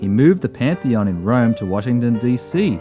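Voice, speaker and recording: Music plays behind a man who talks at a moderate pace in a medium pitch with very wide pitch swings. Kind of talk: comedic travel documentary narration.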